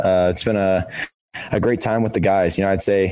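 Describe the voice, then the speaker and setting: A man talks at a very fast pace in a fairly low pitch. Audible room echo surrounds his voice. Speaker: college football quarterback. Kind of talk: press conference.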